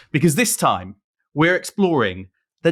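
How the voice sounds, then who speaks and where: A man speaks with a British accent and vocal fry in a very clean recording with a silent background. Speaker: podcast host. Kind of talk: podcast conversation.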